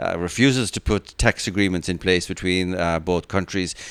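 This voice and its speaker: His pace runs fairly quick. The man's voice sits at a very deep, low pitch. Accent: Irish. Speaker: podcast host. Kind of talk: interview question.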